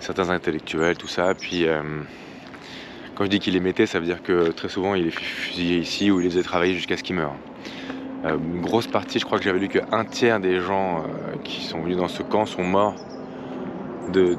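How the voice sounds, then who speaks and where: Noticeable background noise sits behind a man with a very deep, low pitch. He speaks in a monotone, flat way with long, frequent pauses. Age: 30s. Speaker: travel vlogger. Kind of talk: travel vlog. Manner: halting, many fillers.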